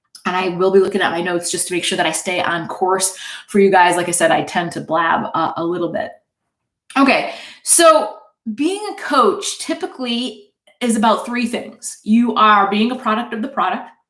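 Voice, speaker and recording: With lively intonation and a medium pitch, a woman speaks in a room with audible echo. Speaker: fitness coach. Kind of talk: webinar presentation. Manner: fast; enthusiastic.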